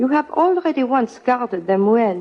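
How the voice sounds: A woman puts on a character voice with fairly high pitch and big pitch swings. She speaks at a fairly slow pace.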